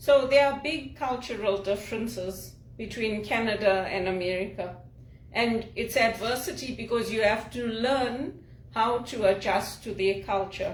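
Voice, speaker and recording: At a fairly slow pace, a woman speaks at a fairly high pitch with ordinary pitch variation over noticeable background noise. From Zimbabwe. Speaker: executive assistant, speaker and spiritual director. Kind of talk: casual talk to camera.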